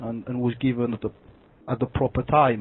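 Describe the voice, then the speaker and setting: A man with a medium pitch speaks in a French accent. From France. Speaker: caller. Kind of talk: phone call conversation. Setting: phone call. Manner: halting, many fillers.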